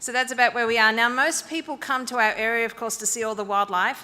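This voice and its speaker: In an Australian accent, the voice has a bright, sharp tone and ordinary pitch variation. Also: woman. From rural northern New South Wales, Australia. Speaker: school founder. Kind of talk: presentation to an audience.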